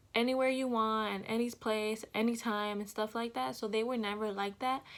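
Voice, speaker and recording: With an unremarkable speaking voice, a woman talks at a fairly slow pace and a fairly high pitch. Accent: American. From Los Angeles, California. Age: 20s. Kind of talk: casual talk to camera.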